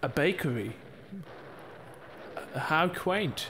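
A man does a put-on character voice at a fairly high pitch, with a fairly bright tone. He speaks slowly, with lively intonation.

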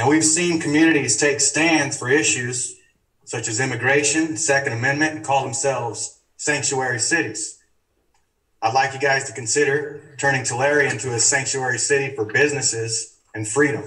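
A man at a moderate pace, fairly even in intonation, against a quiet background. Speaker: public commenter. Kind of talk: public comment speech. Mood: earnest, persuasive. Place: hall. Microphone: camera far.

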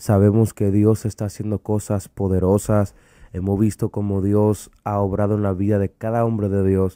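The sound is dry with no echo, over a quiet background. A man talks at a moderate pace in a fairly low pitch with a dark, mellow tone. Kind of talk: religious interview. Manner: animated. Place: studio. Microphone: studio mic.

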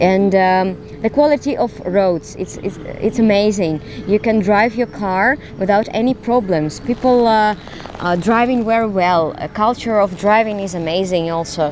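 With a Russian accent, a woman speaks at a moderate pace with ordinary pitch variation, in a dry sound with no echo and light background noise. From Russia (Smolensk, later Moscow). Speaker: actress. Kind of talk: casual interview. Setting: outdoors. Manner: halting. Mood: warm, reflective. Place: garden. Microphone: handheld.

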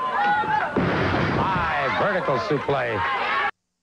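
A man against loud background noise, with a dry sound and no echo. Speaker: pro wrestling play-by-play announcer. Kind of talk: excited wrestling play-by-play commentary. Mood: enthusiastic, dramatic.

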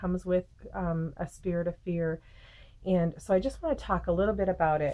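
Here a woman talks at a moderate pace. Her voice is fairly low, with fairly even intonation. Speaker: faith vlogger. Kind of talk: casual devotional talk to camera. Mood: calm, earnest. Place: home room. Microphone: webcam.

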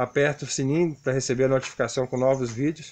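A man speaking at a fairly quick pace. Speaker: construction worker vlogger. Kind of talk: casual tutorial vlog chat. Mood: friendly, warm sign-off. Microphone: phone near.

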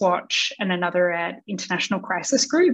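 A woman with an Australian accent is heard over a quiet background. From Australia, Sydney. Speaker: non-profit CEO and founder. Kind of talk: interview. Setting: video call. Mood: earnest, engaged. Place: home room. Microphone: video call.

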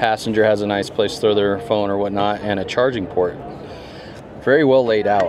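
Against noticeable background noise, a man talks in a fairly low, monotone, flat voice. His pace is moderate, and the sound is dry with no echo. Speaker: car reviewer. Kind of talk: walkaround commentary. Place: hall. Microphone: phone near.

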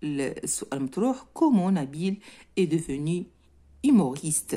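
Somewhat breathy and dark, mellow in tone, a woman's fairly low-pitched voice moves through very wide pitch swings at a moderate pace. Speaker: French teacher. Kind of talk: lesson explaining a textbook reading. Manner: code-switching between French and Moroccan Arabic.

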